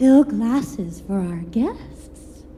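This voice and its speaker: Over clear background noise, a female-sounding voice at a medium pitch performs a put-on character voice. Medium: audio drama. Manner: sing-song, giggly.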